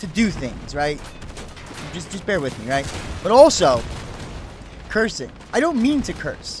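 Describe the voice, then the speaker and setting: Over music in the background and audible room echo, a high-pitched man with an American accent speaks at a fairly slow pace, with long, frequent pauses, big swings in loudness and very wide pitch swings. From US, New Jersey. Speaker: gaming streamer. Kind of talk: live game stream chat.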